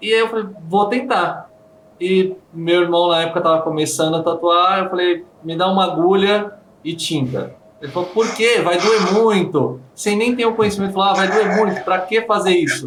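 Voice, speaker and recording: With a Brazilian accent, a man talks at a high pitch and moderate pace with ordinary pitch variation. Audible room echo and noticeable background noise surround him. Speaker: handpoke tattoo artist. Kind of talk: interview.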